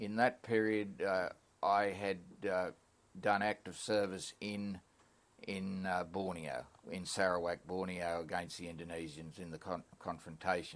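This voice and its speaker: A man with an Australian accent talks at a fairly slow pace in a very deep, low voice, his intonation fairly even. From Queensland, Australia. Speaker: war veteran. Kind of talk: oral history interview. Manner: halting.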